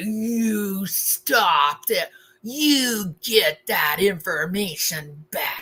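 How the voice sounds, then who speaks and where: Using a put-on character voice, a woman growls at a very slow pace. Her medium pitch swings very widely. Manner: growling, raging.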